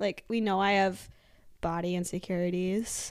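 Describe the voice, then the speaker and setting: This is an ordinary speaking voice. A woman talks at a moderate pace with a medium pitch. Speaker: podcast co-host. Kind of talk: casual chat.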